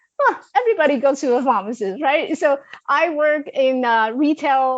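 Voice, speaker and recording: With a Chinese accent, a woman speaks in a high pitch with an energetic tone and lively intonation. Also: quiet background. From China. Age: 40s. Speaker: life coach. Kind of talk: interview.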